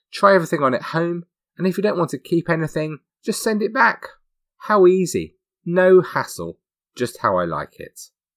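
In a dry, close recording with no echo, a man with a British accent talks at a moderate pace in a high pitch, his ordinary pitch variation broken by long, frequent pauses. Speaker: true crime podcast host. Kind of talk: scripted narration.

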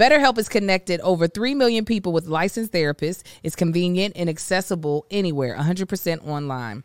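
Speaking very fast with hardly any pauses, a woman with a fairly low pitch uses lively intonation and an animated tone, recorded very cleanly against a silent background with a dry, close sound and no echo. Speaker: podcast host. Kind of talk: casual chat.

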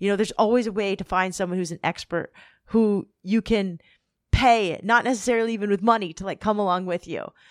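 Speaking with fairly even intonation in a Californian accent, a woman is heard in a very clean recording with a silent background and a dry, close sound with no echo. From Southern California. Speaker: podcast host and author. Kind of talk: casual interview.

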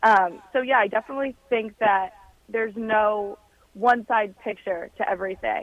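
Her pitch is fairly high, with ordinary pitch variation and a normal speaking voice. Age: 20s. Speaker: political reporter. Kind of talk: radio interview.

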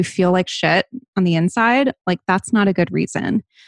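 In an unremarkable speaking voice with an American accent, a woman talks at a fairly quick pace with ordinary pitch variation. The sound is dry and close with no echo, over a quiet background. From US Northeast, Rhode Island (Barrington). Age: 30s. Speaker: lifestyle and wellness influencer. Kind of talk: interview, candid personal talk.

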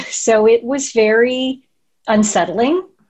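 Her voice has a somewhat breathy quality. The woman's pitch is fairly high, and it varies an ordinary amount. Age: 50s. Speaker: coaching client. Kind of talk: interview.

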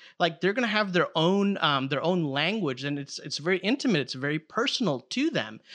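A man with a Chicago accent speaks at a fairly quick pace in a high pitch. His tone is bright and sharp, with lively intonation. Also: quiet background. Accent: Chicago American. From Chicago, US. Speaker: theologian. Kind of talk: casual chat. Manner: animated.

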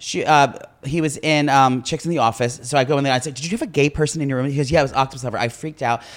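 A man speaks very fast at a fairly high pitch, his intonation fairly even. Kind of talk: casual chat. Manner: fast talker.

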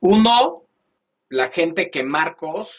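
A man is speaking. His pitch swings very widely. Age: 50s. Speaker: venture capital investor. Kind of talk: interview.

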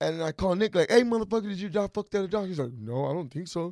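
A loud, high-pitched man talks at a very fast pace in an animated tone with lively intonation. The sound is dry and close with no echo, on a very clean recording with a silent background. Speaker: podcast guest, entrepreneur and mentor. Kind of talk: casual chat. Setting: studio.

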